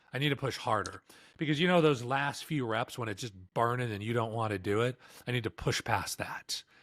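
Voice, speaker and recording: Recorded very cleanly with a silent background and a dry, close sound with no echo, a man speaks at a fairly quick pace at medium pitch with ordinary pitch variation in a plain, everyday voice. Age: 50s. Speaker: podcast host. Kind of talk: casual chat.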